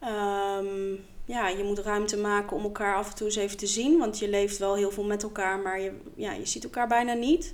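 With an ordinary speaking voice, a woman talks at a moderate pace and medium pitch with fairly even intonation. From Netherlands, The Hague. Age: 30s. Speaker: podcast co-host. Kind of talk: casual chat. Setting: at a table with co-host.

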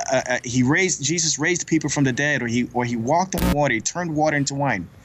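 A man with an American accent speaks at a very fast pace and fairly high pitch, with ordinary pitch variation and very even loudness, over noticeable background noise. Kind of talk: radio interview. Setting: phone call. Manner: halting.

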